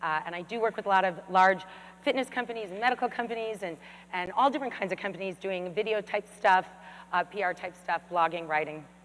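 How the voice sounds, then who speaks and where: The speech is loud. It also moves at a very fast pace. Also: woman, medium pitch for a woman, ordinary pitch variation. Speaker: fitness expert. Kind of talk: keynote presentation. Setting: stage with audience.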